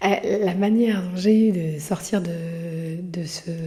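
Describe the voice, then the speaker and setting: A woman's medium-pitched, somewhat breathy voice with fairly even intonation. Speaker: podcast host; mother. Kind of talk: casual monologue. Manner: halting, many hesitations.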